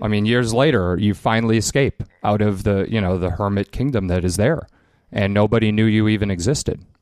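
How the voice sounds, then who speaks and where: Speaking with a Chicago accent, a man with a fairly low pitch moves at a fairly quick pace, with ordinary pitch variation and very even loudness. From Chicago, US Midwest. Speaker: documentary filmmaker. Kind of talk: casual interview.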